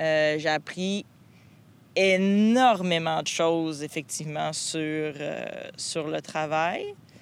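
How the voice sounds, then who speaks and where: In a very clean recording with a silent background, a woman with a very deep, low pitch and ordinary pitch variation speaks at a very slow pace, leaving long, frequent pauses. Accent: Quebec. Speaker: podcast host. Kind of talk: casual chat; scripted narration.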